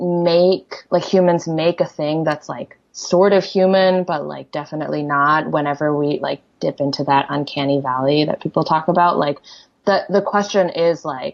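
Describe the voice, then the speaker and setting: Ordinary pitch variation marks the speech of a woman with a Korean accent. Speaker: poet. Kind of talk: interview conversation. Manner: halting, many fillers.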